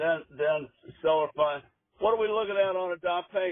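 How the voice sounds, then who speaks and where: A high-pitched man's voice at a moderate pace, with ordinary pitch variation. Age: 80s+. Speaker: property seller. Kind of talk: phone negotiation. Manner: halting.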